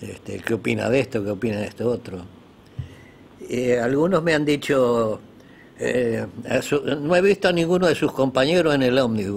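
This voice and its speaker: The speaker has a Uruguayan accent and lively intonation. The pace is moderate, broken by long, frequent pauses. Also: man, medium pitch for a man. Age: 80s+. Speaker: former guerrilla member, interview guest. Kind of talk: interview. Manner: halting, with fillers and repetitions.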